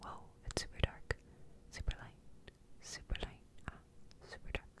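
A woman whispers, soft-spoken, at a moderate pace with big swings in loudness. The sound is dry with no echo, over light background noise. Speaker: ASMR creator. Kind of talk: soft whispered ASMR chat. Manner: soft surprised whisper into mic. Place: home room. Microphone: studio mic.

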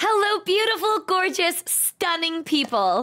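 Raising and projecting her voice, a woman speaks with very wide pitch swings. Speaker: streamer. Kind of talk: casual vlog chat. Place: home room. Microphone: studio mic.

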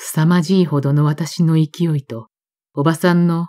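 Close and dry with no echo, a woman's very deep, low voice has a dark, mellow, calm and gentle tone with ordinary pitch variation. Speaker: audiobook narrator. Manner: calm, slow, wistful and melancholic, with gentle restrained emotion.

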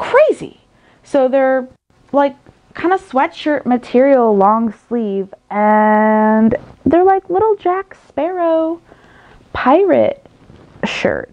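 A woman's high voice, very slow, with lively intonation. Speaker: haul vlogger. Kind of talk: casual vlog chat. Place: home room. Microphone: phone near.

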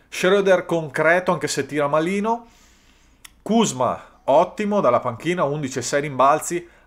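A man with a high pitch and ordinary pitch variation at a fairly slow pace, in a very clean recording with a silent background. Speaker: sports YouTuber. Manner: animated, energetic.

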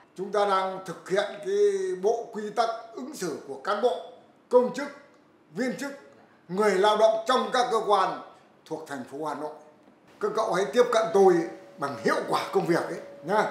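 A man with a high pitch talks at a moderate pace, with long, frequent pauses, big swings in loudness and audible room echo. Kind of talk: conversation, instructing visitors. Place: office. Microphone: camera far.

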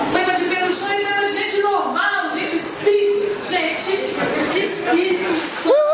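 An extremely high-pitched woman speaks at a fairly slow pace. Loud background noise and audible room echo surround her. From Espírito Santo, Brazil. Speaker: poet. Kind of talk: poetry reading. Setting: live event. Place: cafe. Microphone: camera far.

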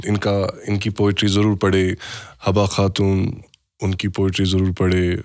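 A man with a Kashmiri accent speaks at a moderate pace in a fairly low, flat monotone, his loudness very even, with long, frequent pauses, in a dry recording with no echo and a quiet background. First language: Kashmiri (speaking Hindi). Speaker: podcast host. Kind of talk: casual chat. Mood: calm, reflective. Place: studio. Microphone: studio mic.

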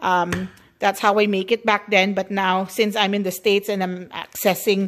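A woman with a Filipino accent at a medium pitch and moderate pace, her intonation monotone and flat. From Philippines, Bacolod (Negros). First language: Hiligaynon (Ilonggo). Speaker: cooking vlogger. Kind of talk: cooking tutorial. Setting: home kitchen. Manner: chatty, rambling. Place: kitchen. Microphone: phone near.

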